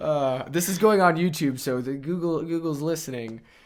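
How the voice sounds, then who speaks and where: A man's voice over noticeable background noise. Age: 20s. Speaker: podcast host. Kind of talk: casual interview chat. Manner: animated.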